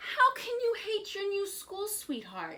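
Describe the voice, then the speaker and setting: In a put-on character voice, a woman speaks at a fairly slow pace, squeaky and extremely high-pitched, with a warm tone. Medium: read story. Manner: warm, coaxing.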